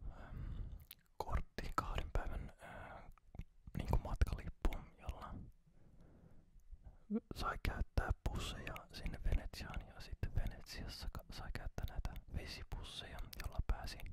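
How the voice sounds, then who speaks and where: A man whispers at a very slow pace with long, frequent pauses. His loudness swings widely. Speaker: ASMR creator. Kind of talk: casual talk to camera, ASMR chat about recent holiday. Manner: soft whispering, slow.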